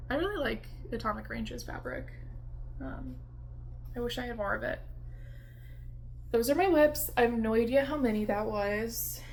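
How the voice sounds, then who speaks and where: A woman talks at a moderate pace with long, frequent pauses amid audible room echo. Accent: American. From US East Coast, Washington DC. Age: 20s. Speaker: cross-stitch video creator. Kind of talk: casual chat. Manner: casual with many fillers.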